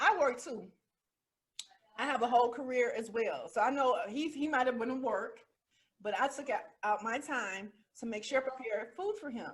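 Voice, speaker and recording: Speaking at a moderate pace, a woman with a high voice sounds animated, with ordinary pitch variation and long, frequent pauses. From US South. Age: 40s. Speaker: podcast host. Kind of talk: casual chat. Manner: loud.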